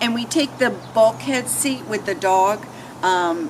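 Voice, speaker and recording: A woman talks at a very slow pace. Noticeable background noise is present. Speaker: travel vlogger. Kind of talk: casual chat.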